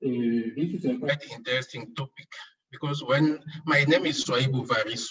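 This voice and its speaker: With a French accent, a man talks at a medium pitch with ordinary pitch variation. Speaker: archaeologist, heritage organization director. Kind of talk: conference talk. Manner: slow.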